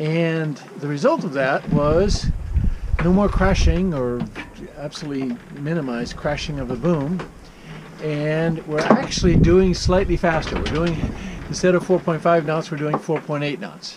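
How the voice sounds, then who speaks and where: Pausing long and often, a man talks at a fairly slow pace while loud background noise fills the clip. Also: ordinary pitch variation. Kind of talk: casual vlog chat. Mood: calm, relaxed. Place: boat. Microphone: phone near.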